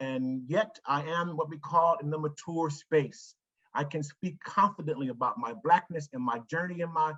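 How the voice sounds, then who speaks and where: Using a normal speaking voice, a man keeps a moderate pace, his fairly high pitch showing ordinary pitch variation. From Ohio, US (Cleveland). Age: 60s. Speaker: foundation executive. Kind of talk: presentation to staff.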